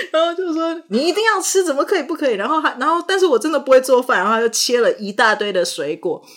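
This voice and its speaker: A woman speaks with very wide swings in pitch. There is noticeable noise in the background. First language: not English (speaking Chinese). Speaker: podcast host and actor. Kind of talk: casual chat.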